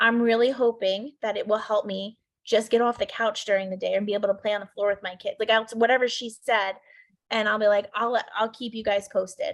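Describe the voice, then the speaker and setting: A woman's fairly high voice at a fairly quick pace. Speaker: network marketing team leader. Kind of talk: team training call. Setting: video call. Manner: fast; animated.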